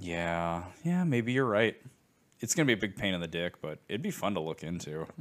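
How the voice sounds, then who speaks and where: Lively intonation at a moderate pace. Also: man, very deep, low pitch for a man. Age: 30s. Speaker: podcast co-host. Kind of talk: casual chat.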